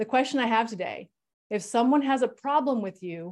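At a moderate pace, a woman with an unremarkable speaking voice talks with ordinary pitch variation. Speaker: coach / therapist host. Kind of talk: panel discussion.

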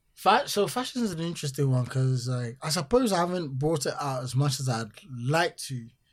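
A man speaks at a moderate pace with a fairly high, somewhat breathy voice, lively intonation and hardly any pauses. The recording is very clean, with a silent background. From Ghana. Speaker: musician and entertainer. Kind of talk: casual interview chat. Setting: London.

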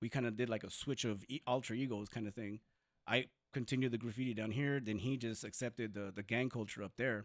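Someone speaks at a very fast pace in an American accent, with fairly even intonation. The recording is very clean, with a silent background. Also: man, medium pitch for a man. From southern California (Compton and San Diego). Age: 40s. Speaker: formerly incarcerated community activist. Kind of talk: interview.

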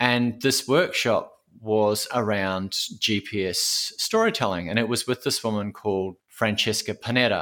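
A man speaks at a fairly slow pace in a medium pitch with a bright, sharp tone and fairly even intonation, captured in a very clean recording against a silent background. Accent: Australian. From Queensland, Australia. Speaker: audio storyteller and oral historian. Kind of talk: interview conversation.

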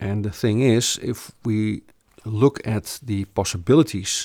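A man with a Dutch accent and fairly low pitch, in a dry, close sound with no echo. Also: very clean recording, silent background. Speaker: business coach / company founder. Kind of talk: sales pitch / information session. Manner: halting, many fillers and repetitions.

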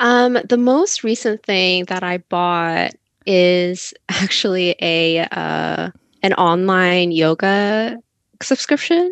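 Against a quiet background, a woman with an American accent speaks at a very slow pace. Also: medium pitch for a woman, ordinary pitch variation. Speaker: podcast co-host, grad student. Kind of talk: casual interview chat.

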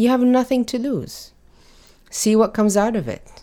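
A woman's dark, mellow tone at a moderate pace. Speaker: activist guest. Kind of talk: casual interview conversation.

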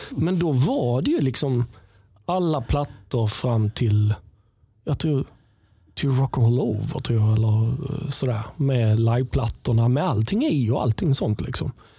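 A somewhat breathy man with medium pitch and a dark, mellow tone speaks at a fairly slow pace, with ordinary pitch variation and very even loudness. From southern Sweden, Helsingborg. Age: 50s. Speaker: musician and sound engineer. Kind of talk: casual chat. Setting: studio.

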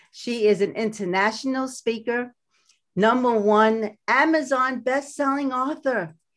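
A woman talks with a Brooklyn accent at a high pitch and a fairly slow pace, with ordinary pitch variation. Her loudness is very even, and the recording is very clean with a silent background. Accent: Brooklyn New York. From US Northeast, Brooklyn, New York. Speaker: podcast host and life coach. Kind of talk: podcast interview.

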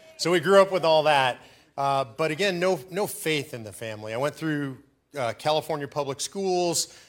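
A man's ordinary speaking voice with an American accent, fairly high in pitch with ordinary pitch variation and big swings in loudness, at a moderate pace in a very clean recording over a silent background. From US West Coast, Los Angeles. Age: 60s. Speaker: activist organization president. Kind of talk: interview testimony. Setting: stage with live audience.

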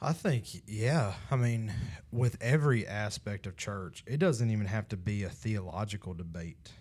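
A man with an ordinary speaking voice talks at a moderate pace and a fairly low pitch, with lively intonation. The recording is very clean, with a silent background. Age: 30s. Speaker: young adult ministry podcast host. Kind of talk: casual chat. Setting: studio.

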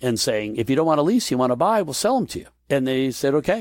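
Words come at a very fast pace on a very clean recording with a silent background. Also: man. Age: 60s. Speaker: entrepreneur. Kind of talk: interview storytelling.

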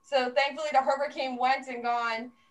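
A woman keeps a moderate pace while noticeable background noise runs underneath. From New Jersey. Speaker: podcast co-host. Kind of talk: casual storytelling. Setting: video call.

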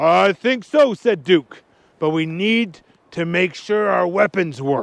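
Lively intonation in plain reading aloud

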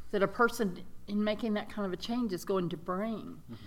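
A woman with a Mississippi accent speaks with fairly even intonation on a very clean recording with a silent background. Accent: Southern US (Mississippi). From US South, rural Mississippi. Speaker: arts nonprofit director. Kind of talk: interview.

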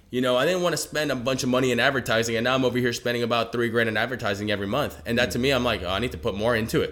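Amid noticeable background noise, a man talks at a very fast pace and medium pitch, with hardly any pauses and very even loudness. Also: ordinary pitch variation. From Venezuela, raised in Georgia (US) from age seven. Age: 20s. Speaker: trucking business owner, entrepreneur. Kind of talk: casual interview. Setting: at home. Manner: animated.

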